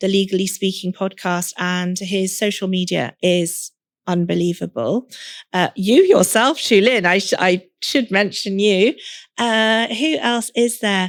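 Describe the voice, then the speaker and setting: A woman with an English accent, medium pitch, ordinary pitch variation and a fairly slow pace, in a very clean recording with a silent background and a dry, close sound with no echo. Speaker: lawyer turned career coach and podcast host. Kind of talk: podcast interview.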